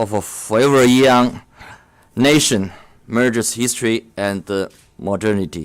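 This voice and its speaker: The man's pitch is medium. He talks fairly slowly. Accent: Chinese. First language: Chinese. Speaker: diplomat. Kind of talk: formal speech. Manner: halting.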